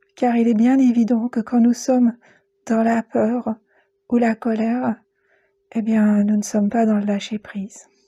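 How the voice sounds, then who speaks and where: A woman's fairly high, somewhat breathy voice with a dark, mellow tone, calm and soothing, at a fairly slow pace with long, frequent pauses, monotone, flat intonation, very even loudness, and a dry, close sound with no echo. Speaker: guided meditation teacher and psycho-energy practitioner. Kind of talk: guided meditation podcast. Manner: calm, soothing, slow.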